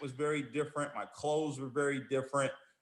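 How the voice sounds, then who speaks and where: In an American accent, a man with an unremarkable speaking voice and a fairly high pitch talks at a fairly quick pace. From Nigeria, then US from about age 10. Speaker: network marketing entrepreneur. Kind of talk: interview storytelling.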